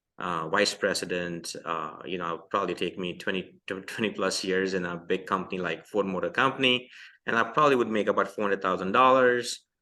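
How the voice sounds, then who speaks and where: Against a quiet background, a man with an Indian accent talks at a fairly quick pace with hardly any pauses, his fairly low voice bright and sharp, with ordinary pitch variation. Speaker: entrepreneur. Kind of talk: podcast interview. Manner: halting, many fillers.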